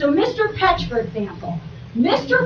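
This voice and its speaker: A woman with an American accent is heard with noticeable background noise and audible room echo. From New Jersey, Gloucester County. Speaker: public commenter at township meeting. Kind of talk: public comment at council meeting. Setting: public meeting with audience, PA microphones. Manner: animated. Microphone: poor meeting microphone system.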